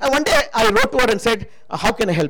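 Fairly quick, animated delivery over noticeable background noise. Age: 60s. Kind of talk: sermon.

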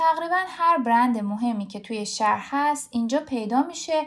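Fairly quick, high female speech swinging very widely up and down in pitch. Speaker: podcast co-host. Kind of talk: podcast narration and casual chat between co-hosts.

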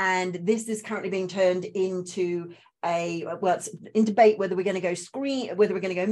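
At a moderate pace, a woman with a slight Australian accent speaks at a medium pitch with fairly even intonation. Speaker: spiritual coach and trauma recovery trainer. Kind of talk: interview, personal story.

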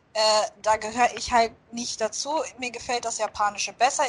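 A woman with a high-pitched voice speaks at a moderate pace. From Germany. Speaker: podcast co-host. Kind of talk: casual chat.

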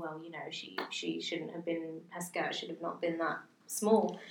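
With a British accent, a woman speaks at a moderate pace against noticeable background noise. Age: 20s. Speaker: podcast co-host. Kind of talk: casual chat.

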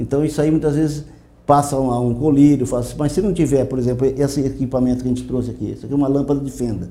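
A man talks at a very fast pace with a dark, mellow tone and medium pitch. His intonation is fairly even, and there is audible room echo. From Brazil, Mato Grosso do Sul. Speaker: veterinarian. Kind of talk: interview. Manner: halting.

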